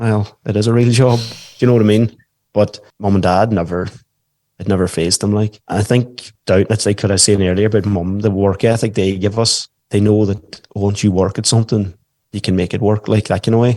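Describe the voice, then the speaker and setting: With a Donegal Irish accent, a man speaks at a fairly quick pace in a fairly low, dark, mellow voice with monotone, flat intonation. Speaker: stay-at-home dad and musician. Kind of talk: podcast interview. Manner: casual, conversational.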